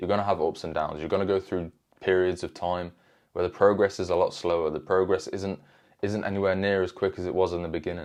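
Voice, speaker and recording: Very fast and animated, a man with a British accent speaks in a very deep, low pitch over a quiet background. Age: 20s. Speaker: self-improvement youtuber. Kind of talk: motivational talk to camera. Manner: casual, animated.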